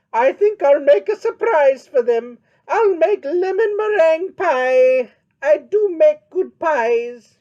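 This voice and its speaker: This put-on character voice is high-pitched and delivered at a fairly slow pace. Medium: read story. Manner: folksy, earnest.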